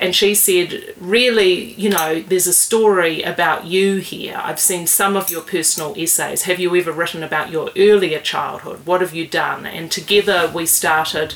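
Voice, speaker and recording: Over noticeable background noise, a woman with a New Zealand accent speaks at a moderate pace with hardly any pauses, her fairly low voice held to fairly even intonation. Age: 40s. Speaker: writer. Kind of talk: casual interview. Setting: in the host's house.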